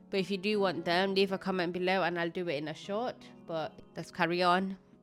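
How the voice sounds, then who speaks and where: A woman talks fairly quickly at a medium pitch in a monotone, flat delivery. Music plays in the background. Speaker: beauty blogger. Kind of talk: casual talk to camera.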